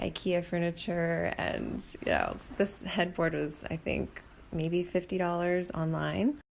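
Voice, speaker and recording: A woman whispers. Her pace is fairly slow. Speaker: homeowner giving a home tour. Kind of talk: casual home tour vlog. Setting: indoors at home, selfie video. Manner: halting, many fillers; whispering.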